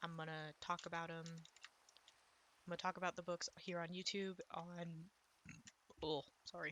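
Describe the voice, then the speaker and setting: Soft-spoken, with a bright, sharp tone, a woman speaks in a fairly low pitch and monotone, flat intonation at a moderate pace, leaving long, frequent pauses. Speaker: gaming YouTuber and author. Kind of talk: casual gameplay commentary. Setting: recording at home with others in the house. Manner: quiet, soft-spoken; rambling, hesitant with fillers.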